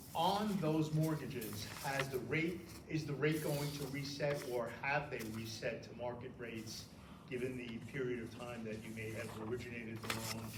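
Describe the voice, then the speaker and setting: Talking at a moderate pace, a man's medium-pitched voice carries ordinary pitch variation, with room echo audible and background noise noticeable. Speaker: rent board member. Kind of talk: questioning at public hearing. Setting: public hearing in library. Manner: loud.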